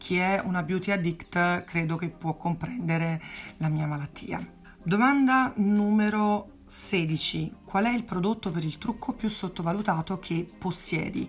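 A woman speaks at a fairly slow pace, her voice somewhat breathy with ordinary pitch variation. Light background noise sits behind her. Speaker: makeup artist and beauty YouTuber; beauty vlogger. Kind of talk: casual vlog Q&A. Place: home room. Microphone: phone near.

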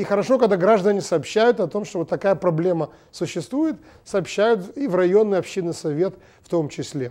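A man's high-pitched voice with a dark, mellow tone and lively intonation, at a moderate pace over a quiet background. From Belarus, Minsk; Belarus. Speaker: TV host and journalist; TV talk show host. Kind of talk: TV studio monologue. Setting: TV studio. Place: studio. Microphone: lapel.

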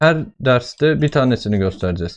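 The pace here is fairly slow. A man talks at a medium pitch. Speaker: father making coding videos with his child. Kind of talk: casual screen-recorded tutorial.

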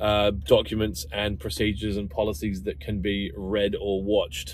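In a dry sound with no echo, a man talks at a fairly slow pace with ordinary pitch variation. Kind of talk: casual vlog chat. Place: car. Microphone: phone near.

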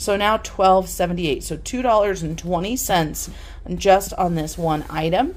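With vocal fry and ordinary pitch variation, a woman speaks in a fairly low voice. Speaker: home haul vlogger. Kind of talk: casual vlog chat. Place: kitchen. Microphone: phone near.

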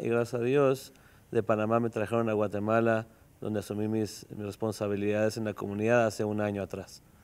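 Here is a man with a normal speaking voice. His pitch is medium and his pace moderate. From Mexico. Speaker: rabbi. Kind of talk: interview. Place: studio. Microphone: lapel.

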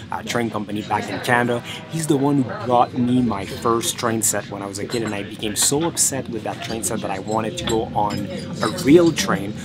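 Over music in the background, a man speaks at a fairly quick pace with ordinary pitch variation. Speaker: travel vlogger. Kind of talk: casual vlog chat. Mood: nostalgic, warm storytelling. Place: train. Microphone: phone near.

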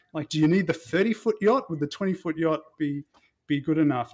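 A man with an Australian accent, fairly high in pitch, at a fairly quick pace with ordinary pitch variation, on a very clean recording with a silent background. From Melbourne, Australia. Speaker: doctor. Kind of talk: casual chat. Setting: office.

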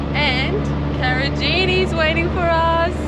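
A woman speaks in a dry sound with no echo. Loud background noise is present. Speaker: travel vlogger. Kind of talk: casual vlog chat. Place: car.

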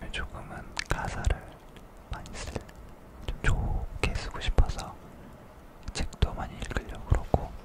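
Whispering, a man speaks very slowly, with long, frequent pauses. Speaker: K-pop idol, singer-songwriter. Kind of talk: casual ASMR talk to camera. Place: studio. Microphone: studio mic.

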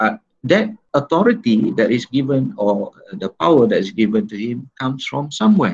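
Very wide pitch swings mark a man's speech at a moderate pace. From Malaysia. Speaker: law lecturer. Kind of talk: online lecture. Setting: video call. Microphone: video call.

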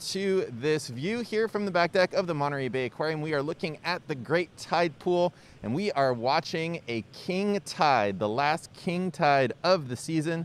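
A man speaks with lively intonation in a dry sound with no echo. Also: moderate pace. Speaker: aquarium social media host. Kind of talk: live stream commentary. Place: waterside.

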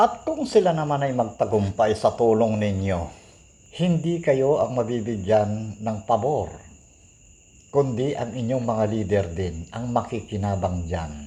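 A man talks at a fairly slow pace in a dark, mellow tone. His voice is somewhat breathy and his intonation lively. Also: medium pitch for a man. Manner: earnest, admonishing, preachy; firm, emphatic.

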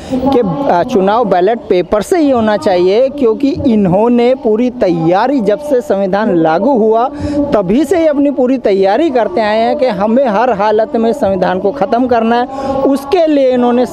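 A man speaks at an extremely high pitch and a very slow pace. His pitch variation is ordinary, and there is noticeable background noise. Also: dry sound with no echo. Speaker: interviewee. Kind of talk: street interview answer, political opinion. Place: street. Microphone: handheld.

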